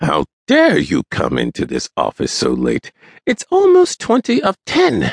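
A man does a growling, put-on character voice at a fairly slow pace. The sound is dry and close with no echo.

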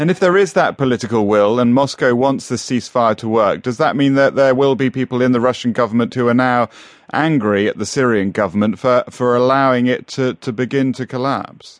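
This man has an unremarkable speaking voice, medium in pitch with ordinary pitch variation, and talks at a fairly quick pace. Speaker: radio news presenter. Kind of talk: formal newsreading. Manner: formal, measured broadcast delivery; brisk, clear, relaying statements.

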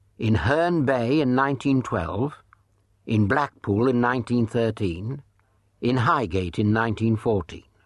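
In a British accent and a dramatic tone, a man speaks at a fairly slow pace with lively intonation over a quiet background. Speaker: audiobook narrator. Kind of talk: dramatic narration of true crime, with acted-out dialogue. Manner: dramatic, sly and sardonic, shifting into mock-suave and coy voices for the dialogue.

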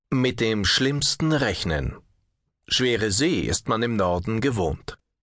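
Against a quiet background, a man with vocal fry talks at a very slow pace and a medium pitch. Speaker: audiobook narrator. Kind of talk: dramatic audiobook narration of a magazine feature. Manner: atmospheric, measured and suspenseful, with a storytelling cadence.

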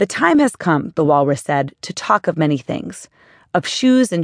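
A woman with a warm tone and vocal fry speaks at a moderate pace with very wide pitch swings, the sound dry and close with no echo over a quiet background. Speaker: author reading own book. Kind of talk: audiobook narration, first-person memoir read aloud. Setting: studio. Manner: steady, warm, earnest storytelling pace.

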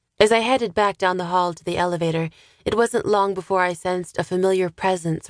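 The text is read aloud naturally, the intonation fairly even.

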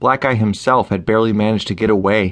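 Fairly low in pitch, a man talks at a fairly quick pace. It is an unremarkable speaking voice. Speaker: audiobook narrator. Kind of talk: dramatic audiobook narration of a pulp adventure. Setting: studio recording. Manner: steady storyteller pacing, building tension.

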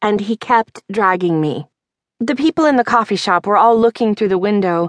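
A natural reading voice with ordinary pitch variation against a quiet background.

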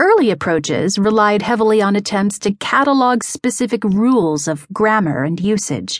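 Using an ordinary speaking voice, a woman with a medium pitch talks at a moderate pace with lively intonation and hardly any pauses against a quiet background. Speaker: audiobook narrator. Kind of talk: audiobook narration of a magazine article. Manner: steady, even, measured pace; formal, neutral and informative.

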